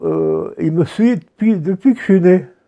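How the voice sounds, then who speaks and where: Speaking at a very slow pace, a man uses a high pitch and a dark, mellow tone. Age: 80s+. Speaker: interviewee in oral history documentary. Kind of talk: interview testimony. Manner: halting.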